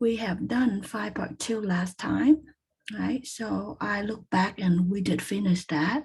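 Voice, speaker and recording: A woman with a medium pitch talks very slowly, her pitch varying in an ordinary way. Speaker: statistics teacher. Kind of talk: lecture.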